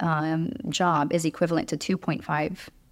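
A woman speaks in a plain, everyday voice at a moderate pace with fairly even intonation. The recording is very clean, with a silent background. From Romania, raised in Chicago from age eight. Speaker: working mother. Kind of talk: podcast interview.

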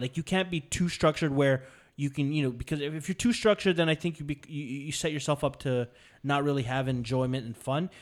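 A man's fairly high-pitched voice, a plain, everyday voice, in a very clean recording with a silent background. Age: 30s. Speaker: podcast host. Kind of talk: casual banter. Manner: joking, profane.

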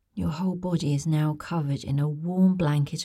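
A woman speaks in a soothing, gentle, dark, mellow tone, somewhat breathy and with ordinary pitch variation, on a very clean recording with a silent background. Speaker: bedtime story narrator. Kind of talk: guided visualisation bedtime story. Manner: slow, soothing, gentle; soft-spoken, lulling, repetitive.

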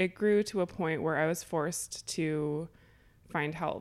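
On a very clean recording with a silent background, a woman with an unremarkable speaking voice talks fairly slowly at a fairly low pitch. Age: 30s. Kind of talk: interview.

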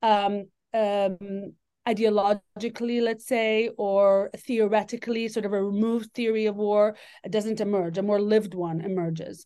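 A woman speaks at a moderate pace in a medium pitch, her intonation monotone and flat. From Lebanon. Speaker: professor, author. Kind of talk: interview about her book.

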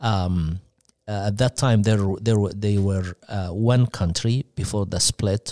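A man with an Egyptian accent speaks very slowly at a fairly low pitch, dark and mellow in tone with fairly even intonation, in a dry, close sound with no echo and a very clean recording with a silent background. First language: Arabic. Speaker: missionary church leader. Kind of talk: radio interview. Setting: studio.

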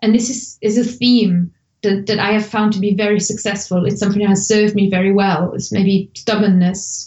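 A woman's medium-pitched voice with vocal fry, a German accent and a moderate pace. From Germany. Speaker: language tutor and blogger. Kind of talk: podcast interview.

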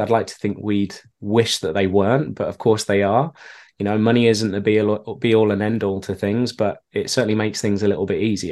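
A man with a British accent talks at a fairly quick pace and a fairly low pitch. His intonation stays fairly even over a quiet background. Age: 30s. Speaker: email marketer and keynote speaker. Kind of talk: interview.

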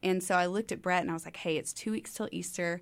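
A woman's plain, everyday voice with an American accent, fairly low in pitch, fairly quick, with lively intonation. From East Texas. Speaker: ministry founder. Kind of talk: casual interview. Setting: studio.

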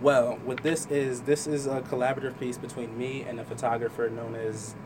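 With noticeable background noise and audible room echo, a man with an American accent talks at a medium pitch and moderate pace in a monotone, flat intonation. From Trenton, New Jersey. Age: young. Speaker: artist. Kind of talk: interview. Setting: studio.

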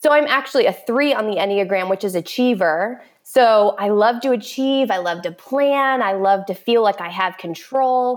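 A woman with an American accent has an unremarkable speaking voice at a fairly high pitch, ordinary pitch variation and a moderate pace with hardly any pauses. The recording is very clean, with a silent background. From Florida, Orlando. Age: 30s. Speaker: author and infertility support group leader. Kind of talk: interview about personal experience.

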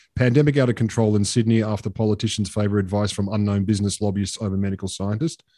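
Here a man talks at a very fast pace with an Australian accent, his pitch fairly low and his tone dark and mellow. The intonation stays fairly even over a quiet background. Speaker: podcast host. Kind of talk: casual banter podcast. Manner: cheeky, sweary, quick-witted.

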